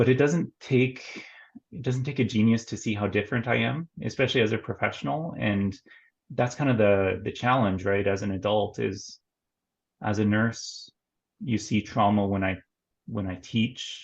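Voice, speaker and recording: Speaking at a moderate pace with a Canadian accent, a man sounds somewhat breathy, with a fairly low pitch and ordinary pitch variation. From Canada, northern Ontario. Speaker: nurse and mental health therapist. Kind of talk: interview conversation.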